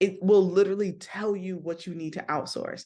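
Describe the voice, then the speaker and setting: This woman's voice sits fairly low in pitch and moves at a fairly quick pace. The background is quiet. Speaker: business coach. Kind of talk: live-streamed coaching talk. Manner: fast; animated.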